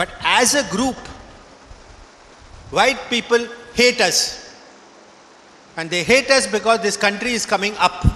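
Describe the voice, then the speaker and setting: A man speaks in a raised, projected voice at a high pitch with ordinary pitch variation, at a fairly slow pace. Long, frequent pauses break up his speech over noticeable background noise. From southern India, Karnataka. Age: 70s. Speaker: professor. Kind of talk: speech to graduating students.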